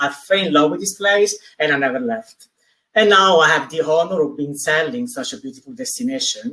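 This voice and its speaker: A man with an Italian accent, bright, sharp tone, lively intonation and a fairly quick pace. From Italy. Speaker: travel industry representative. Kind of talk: live webinar interview.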